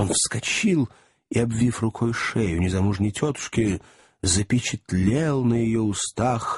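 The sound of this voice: Someone reads in an unforced reading voice against a quiet background.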